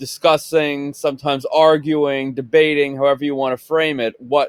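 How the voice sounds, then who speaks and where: A fairly high-pitched man with a Long Island accent at a moderate pace, in a dry, close sound with no echo. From Long Island, New York. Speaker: podcast co-host, autograph collector. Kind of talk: casual chat.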